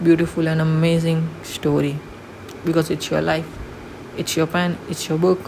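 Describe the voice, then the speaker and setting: A woman with a non-native accent, fairly low in pitch, at a fairly slow pace with monotone, flat intonation, over noticeable background noise. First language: not English. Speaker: vlogger. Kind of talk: motivational vlog monologue.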